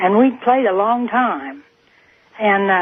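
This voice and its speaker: A woman speaks at a moderate pace with a fairly high pitch and ordinary pitch variation. Background noise is noticeable. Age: 80s+. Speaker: caller. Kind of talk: testimony. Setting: phone call.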